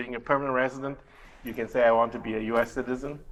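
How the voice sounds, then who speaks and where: A man speaks with a Chinese accent. His pitch is medium. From Taiwan and Malaysia. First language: Mandarin Chinese. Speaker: immigration lawyer. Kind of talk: interview. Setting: TV studio. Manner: halting.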